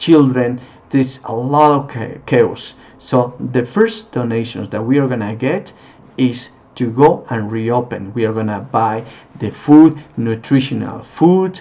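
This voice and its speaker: A man with a non-native accent speaks at a medium pitch. He keeps ordinary pitch variation and a fairly slow pace. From Peru. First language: Spanish. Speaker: non-profit founder, former tour guide. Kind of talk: charity appeal. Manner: halting.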